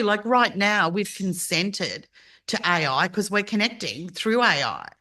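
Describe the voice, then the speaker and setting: In an Australian accent, a woman speaks at a fairly slow pace in a fairly high pitch with a bright, sharp, animated tone and ordinary pitch variation over a quiet background. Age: 60s. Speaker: podcast host. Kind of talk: casual chat.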